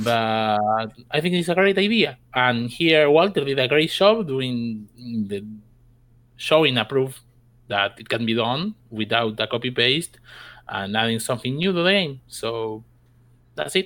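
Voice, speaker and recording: In a Spanish accent, a man with a medium pitch speaks at a fairly slow pace with lively intonation in a very clean recording with a silent background. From South America. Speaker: gaming clan member. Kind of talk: casual interview. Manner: halting.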